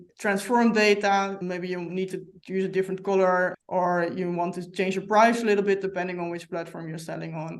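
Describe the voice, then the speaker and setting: A woman speaks with a Dutch accent. Her intonation stays monotone and flat. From Netherlands. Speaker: software company representative. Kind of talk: podcast interview.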